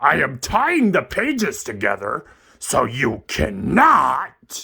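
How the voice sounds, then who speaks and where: A man puts on a raspy, cartoonish character voice and drags it out at a very slow pace. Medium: puppet. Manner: excitable, fretful.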